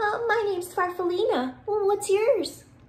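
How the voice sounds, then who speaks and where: A squeaky, female-sounding put-on character voice at an extremely high pitch and a moderate pace. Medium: read story.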